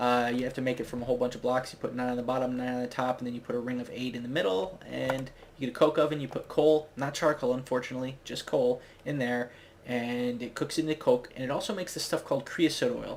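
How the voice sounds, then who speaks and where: The speech moves at a very fast pace. Noticeable background noise sits behind it. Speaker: gaming video creator. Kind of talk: gameplay commentary. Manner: casual, rambling with fillers.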